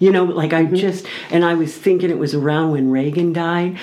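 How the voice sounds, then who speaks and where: Over noticeable background noise and audible room echo, a woman speaks at a moderate pace in a very deep, low pitch. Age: 60s. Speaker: radio show guest sharing life story. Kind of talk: casual interview chat.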